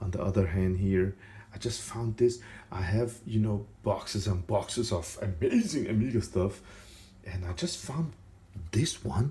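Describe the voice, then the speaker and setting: A soft-spoken man with a non-native accent talks in a somewhat breathy, dark, mellow voice of fairly low pitch and ordinary pitch variation. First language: not English. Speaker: retro computer YouTuber. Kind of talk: tutorial. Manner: casual and chatty.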